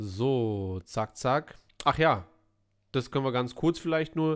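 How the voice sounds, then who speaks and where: In a very clean recording with a silent background, a man with an ordinary speaking voice talks at a fairly slow pace and a medium pitch. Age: 30s. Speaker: film podcast host. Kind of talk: casual chat.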